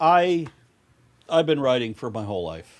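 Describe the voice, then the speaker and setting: The speaker is a man at a fairly slow pace. His pitch swings very widely. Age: 60s. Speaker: podcast guest. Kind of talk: casual political chat. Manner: animated.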